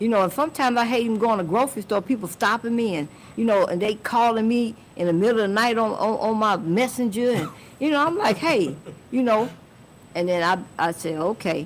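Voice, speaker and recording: Intonation is lively as a woman talks very fast. She has an American accent. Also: fairly high pitch for a woman. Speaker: music industry manager. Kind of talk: podcast interview. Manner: casual, filler-heavy.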